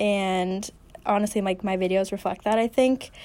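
An unremarkable speaking voice with an American accent, fairly even intonation and a moderate pace. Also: woman. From Massachusetts, US. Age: young. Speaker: student video creator. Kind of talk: interview.

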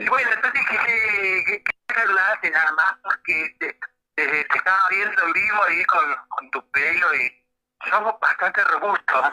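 Talking at a fairly slow pace, a man uses a high pitch and lively intonation. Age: 60s. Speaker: internet radio host. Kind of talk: radio interview. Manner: halting.

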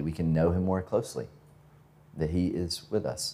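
A man with a very deep, low pitch and an American accent, on a very clean recording with a silent background. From US South, Georgia (northwest of Atlanta). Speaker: pastor. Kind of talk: sermon. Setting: church with congregation. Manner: halting, many fillers and repetitions.

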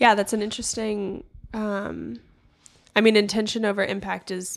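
A woman with an American accent talks in a normal speaking voice at a medium pitch and a moderate pace, with ordinary pitch variation. The recording is very clean, with a silent background. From Oakland, California. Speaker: college student. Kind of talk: casual discussion.

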